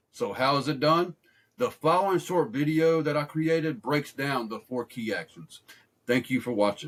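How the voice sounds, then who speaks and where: With a normal speaking voice, a man of fairly high pitch speaks at a moderate pace and with lively intonation. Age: 30s. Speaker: personal finance creator. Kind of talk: video introduction.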